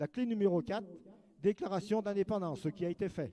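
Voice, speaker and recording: At a moderate pace, a man with a high pitch and a dark, mellow tone is heard in a dry, close sound with no echo. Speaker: round-table panelist on Savoy history. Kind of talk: presentation to an audience.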